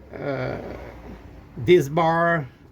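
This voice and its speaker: With a French Canadian accent, a man speaks in a fairly high pitch. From Quebec, Canada. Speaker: RV owner reviewing parts. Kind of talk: casual product review. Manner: halting, many fillers and repeats.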